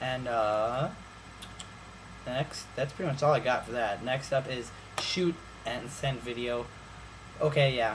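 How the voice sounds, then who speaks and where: Medium-pitched male speech at a fairly slow pace, ordinary pitch variation, long and frequent pauses, and noticeable background noise. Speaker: YouTuber reviewing phones. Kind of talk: casual vlog review.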